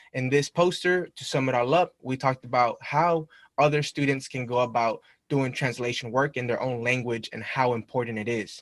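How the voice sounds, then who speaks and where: A man speaks with a Spanish accent. His intonation stays fairly even. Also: medium pitch for a man, moderate pace, dry, close sound with no echo. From Mexico, raised in Long Beach, California. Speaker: university student. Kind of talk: presentation to a club. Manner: casual, conversational.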